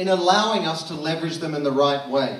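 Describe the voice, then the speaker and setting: With audible room echo and noticeable background noise, a man in an Australian accent speaks at a moderate pace. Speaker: marketing consultant, conference speaker. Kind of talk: conference talk. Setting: stage with audience at comedy club.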